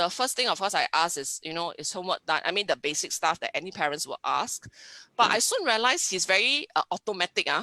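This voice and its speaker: In a dry, close recording with no echo, a woman with a Singaporean accent talks at a very fast pace with lively intonation. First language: Hokkien. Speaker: science teacher. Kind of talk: webinar interview. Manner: halting.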